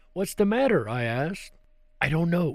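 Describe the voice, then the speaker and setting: Lively intonation marks this man's plain, everyday voice, fairly high in pitch, at a moderate pace on a very clean recording with a silent background. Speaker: talk show host. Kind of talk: ghost story reading.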